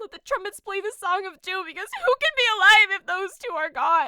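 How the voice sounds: A woman does a put-on character voice with an extremely high pitch, a bright, sharp tone and lively intonation. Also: fairly quick pace, dry, close sound with no echo.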